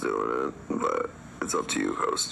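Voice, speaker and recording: There's noticeable background noise as a man speaks with an American accent. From US South, Charlotte. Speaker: army veteran. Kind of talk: live stream debate. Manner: fast.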